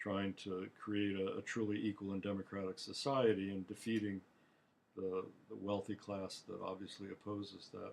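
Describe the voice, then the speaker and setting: A man speaks in a monotone, flat intonation at a fairly low pitch and a moderate pace. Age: 70s. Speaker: author and political activist. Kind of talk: monologue talk. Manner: halting, repeats words.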